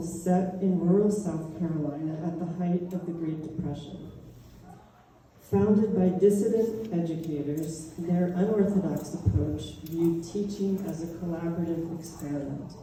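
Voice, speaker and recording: Over noticeable background noise and audible room echo, a woman with an American accent speaks at a moderate pace and fairly low pitch with ordinary pitch variation. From Pittsburgh, US. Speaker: artist. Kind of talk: public talk, partly read aloud. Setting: museum talk with audience. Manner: slightly impaired speech; reading from script.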